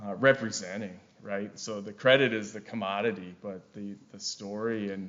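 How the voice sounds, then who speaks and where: Audible room echo surrounds a man with a Wisconsin accent who talks at a moderate pace and a fairly low pitch. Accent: Wisconsin accent, noticeable. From Wisconsin, US Upper Midwest. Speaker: forester and carbon project director. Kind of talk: conference presentation. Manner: frequent fillers and repetitions.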